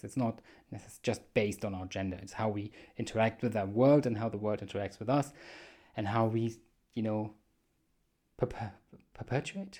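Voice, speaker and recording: With a German accent, a man speaks at a fairly low pitch in a monotone, flat way, leaving long, frequent pauses. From Germany. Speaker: podcast host. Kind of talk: solo monologue podcast. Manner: casual, with frequent fillers.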